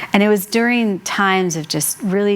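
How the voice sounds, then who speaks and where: A woman at a moderate pace, fairly even in intonation, amid noticeable background noise. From Colorado, US (Mexican American). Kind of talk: devotional teaching with personal testimony. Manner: conversational, with fillers.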